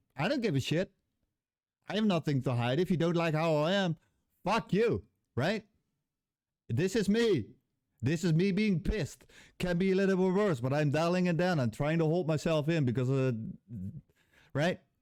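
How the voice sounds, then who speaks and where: With a Dutch accent, a man speaks at a high pitch and moderate pace, using lively intonation and very even loudness, pausing long and often on a very clean recording with a silent background. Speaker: game developer, YouTuber. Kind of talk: casual vlog rant. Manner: halting.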